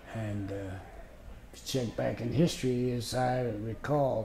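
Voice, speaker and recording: Speaking at a fairly slow pace, a man with an American accent uses a relaxed tone and ordinary pitch variation, with audible room echo and noticeable background noise. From US Midwest, Chicago. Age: 80s+. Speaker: retired postal worker, interviewee. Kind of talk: autobiographical interview. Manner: relaxed reminiscing with hesitations.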